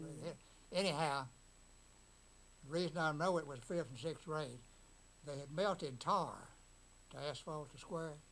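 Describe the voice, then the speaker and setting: A man with a Mississippi accent speaks in a fairly high pitch for a man. His loudness swings widely, and he leaves long, frequent pauses. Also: ordinary pitch variation, moderate pace. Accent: Southern US (Mississippi). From Ripley, Mississippi. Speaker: hardware store owner, WWII Army veteran. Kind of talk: interview answer. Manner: casual, anecdotal.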